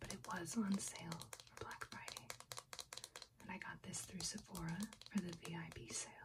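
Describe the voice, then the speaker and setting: The soft-spoken voice moves at a moderate pace under loud background noise. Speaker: beauty reviewer. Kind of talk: casual product review chat. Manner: soft-spoken, hushed ASMR voice. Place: home room.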